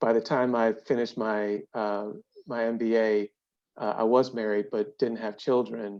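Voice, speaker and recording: A man speaks in an American accent at a medium pitch. His intonation is monotone and flat, his pace moderate. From Brooklyn, New York; later Cleveland. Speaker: corporate ethics executive. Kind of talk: podcast interview. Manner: hesitant, many fillers and repeats.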